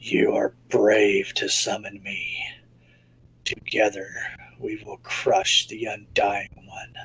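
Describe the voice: A man speaks at a very slow pace in a put-on character voice, with long, frequent pauses.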